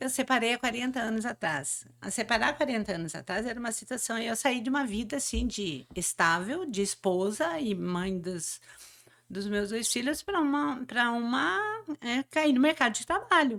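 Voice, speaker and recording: A woman speaks at a fairly high pitch and a moderate pace. Her pitch swings very widely. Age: 60s. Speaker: motivational speaker. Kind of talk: interview. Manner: halting.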